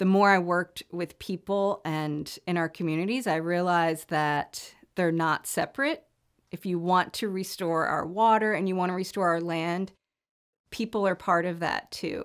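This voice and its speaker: A woman uses an ordinary speaking voice, fairly low in pitch, with an American accent and fairly even intonation. Her moderate pace comes through on a very clean recording with a silent background. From Virginia, USA. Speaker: river restoration director and ecotherapist. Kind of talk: interview answer.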